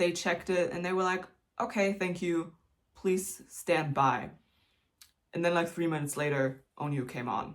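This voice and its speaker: Speaking at a moderate pace with a German accent, the voice leaves long, frequent pauses. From Germany. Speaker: YouTuber, K-pop fan. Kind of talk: casual vlog talk. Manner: chatty, many fillers.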